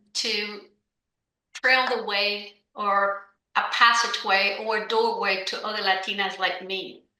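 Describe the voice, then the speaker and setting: A woman speaks with a bright, sharp tone over audible room echo. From Cuba. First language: Spanish. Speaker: business owner. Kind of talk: podcast interview.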